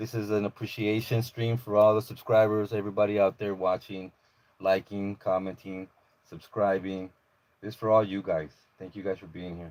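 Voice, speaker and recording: With an American accent, a man speaks at a moderate pace in a fairly low, monotone, flat voice whose loudness swings widely. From Los Angeles area, California (Maywood). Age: 40s. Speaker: YouTuber, police audit channel. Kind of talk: live stream chat with viewers. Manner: casual, filler-heavy.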